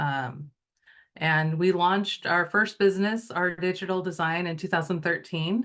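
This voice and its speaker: This woman has an unremarkable speaking voice with ordinary pitch variation. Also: quiet background. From US Pacific Northwest, Wenatchee Valley. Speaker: entrepreneur. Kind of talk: lecture. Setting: video call.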